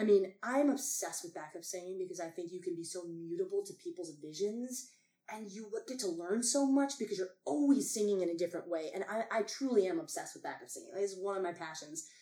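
A woman's very fast, animated delivery at a medium pitch, lively in intonation with big swings in loudness. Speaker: actor and performer. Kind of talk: casual chat.

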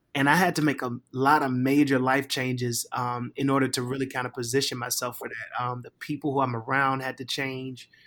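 On a very clean recording with a silent background, a man with an American accent talks in a bright, sharp tone. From Virginia, Richmond. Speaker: pastor. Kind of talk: casual chat.

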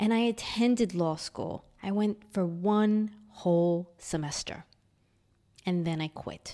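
Very slowly, a woman talks in a New York accent with a dark, mellow tone. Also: medium pitch for a woman, ordinary pitch variation. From New York City (Queens). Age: 40s. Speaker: podcaster. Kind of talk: personal storytelling.

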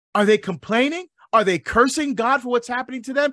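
A man projects a raised voice at an extremely high pitch, his tone energetic, bright and sharp. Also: dry, close sound with no echo. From Barbados. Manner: animated, rising call-and-response rhythm with hammering repeated questions.

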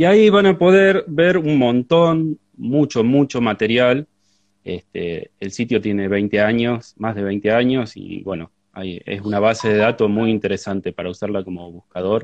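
A man with medium pitch talks at a fairly slow pace, his pitch swinging very widely. The sound is dry and close, with no echo. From Argentina, La Pampa province. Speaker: agronomist and researcher. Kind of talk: live interview conversation. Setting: Instagram live stream.

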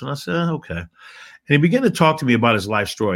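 Speaking at a very fast pace, a man sounds animated. His intonation is lively. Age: 60s. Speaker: motivational speaker. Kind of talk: interview.

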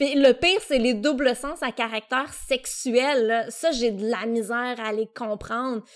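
Hardly any pauses break up this fairly slow delivery, which has ordinary pitch variation. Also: woman, high pitch for a woman. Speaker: podcast co-host. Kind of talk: casual chat. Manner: loud at times; very expressive.

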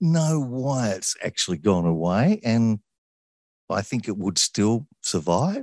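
A man with an Australian accent talks at a fairly slow pace, his pitch swinging very widely. The sound is dry and close with no echo, over a quiet background. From Sydney, Australia. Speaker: radio presenter. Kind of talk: interview.

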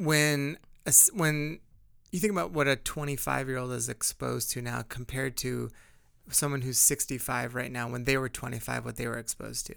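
In a very clean recording with a silent background, a man speaks at a fairly quick pace with a bright, sharp tone and ordinary pitch variation. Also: medium pitch for a man. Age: 40s. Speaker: co-lead pastor and podcast co-host. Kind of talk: casual chat.

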